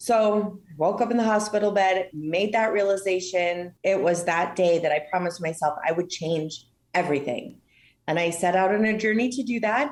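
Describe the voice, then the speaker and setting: At a medium pitch, a woman speaks with ordinary pitch variation and very even loudness. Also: moderate pace. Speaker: lung cancer patient. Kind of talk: personal testimony in podcast interview. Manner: loud and boisterous.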